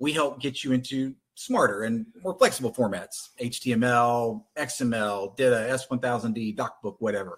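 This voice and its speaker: Speaking at a moderate pace with hardly any pauses, a man with a Texan accent holds a medium pitch. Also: ordinary pitch variation. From Texas. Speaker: content conversion company representative. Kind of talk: webinar presentation.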